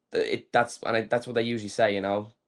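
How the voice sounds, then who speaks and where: A man speaks with an Irish accent. He talks at a very fast pace. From Ireland. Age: 20s. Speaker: pro wrestler. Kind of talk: interview. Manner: fast, filler-heavy.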